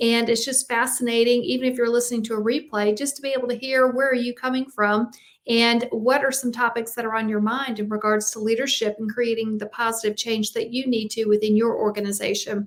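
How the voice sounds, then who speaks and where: Speaking with a Southern US accent, a woman has a fairly high pitch and monotone, flat intonation. She talks at a fairly quick pace with hardly any pauses. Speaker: executive coach and podcast host. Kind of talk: live stream talk on leadership. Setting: live video stream.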